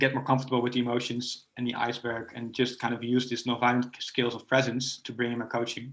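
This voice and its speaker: This man speaks at a very fast pace with hardly any pauses. His pitch is medium and his intonation is monotone and flat. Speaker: coach and nonviolent communication trainer. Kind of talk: casual chat.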